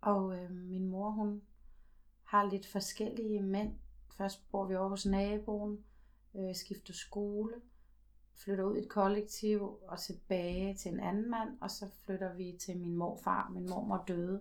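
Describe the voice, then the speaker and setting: The speech moves at a very slow pace with a monotone, flat intonation. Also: woman, medium pitch for a woman. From Denmark, Slagelse (Zealand). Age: 40s. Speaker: twelve-step group member. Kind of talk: testimony. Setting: at home. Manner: halting.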